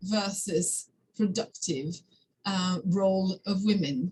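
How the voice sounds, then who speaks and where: This voice belongs to a woman. There is a somewhat breathy quality to it. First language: French. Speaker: academic discussant. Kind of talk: seminar discussion. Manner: halting, many fillers.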